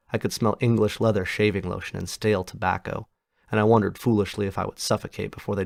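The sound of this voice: The speaker uses an unforced reading voice with fairly even intonation. Behind it, the background is quiet.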